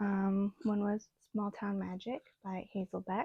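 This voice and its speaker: The voice is soft-spoken and mumbling, with a dark, mellow tone. The sound is dry and close, with no echo. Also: woman. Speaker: booktuber. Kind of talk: casual vlog chat. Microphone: small clip-on microphone, described as bad idea.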